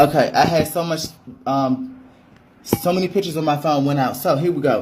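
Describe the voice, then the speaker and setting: Over noticeable background noise, a man talks at a fairly quick pace in an animated tone with a fairly high pitch. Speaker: travel vlogger. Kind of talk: tutorial. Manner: fast; casual, animated.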